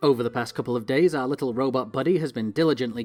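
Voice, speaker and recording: With music in the background, a man speaks very fast at a medium pitch in a Northern English accent. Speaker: let's play YouTuber. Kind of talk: gameplay commentary. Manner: casual, chatty.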